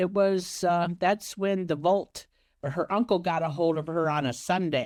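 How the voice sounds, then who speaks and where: An unremarkable speaking voice, its pitch varying in an ordinary way and its tempo moderate. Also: woman, fairly low pitch for a woman, quiet background. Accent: American. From Ohio, USA. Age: 60s. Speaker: romance scam victim. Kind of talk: interview answer.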